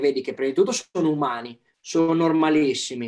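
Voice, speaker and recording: Pitch shifts in a normal way as this man talks. He keeps a moderate speed. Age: young. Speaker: athlete. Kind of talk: casual chat.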